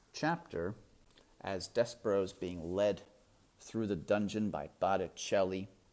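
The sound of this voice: The intonation stays fairly even. It belongs to an unforced reading voice.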